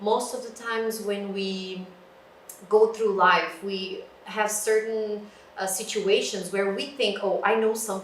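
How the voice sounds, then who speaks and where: A woman with a fairly high pitch speaks at a fairly slow pace in a monotone, flat intonation, her loudness swinging widely, with audible room echo and noticeable background noise. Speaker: librarian. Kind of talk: lecture. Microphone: no microphone, room sound.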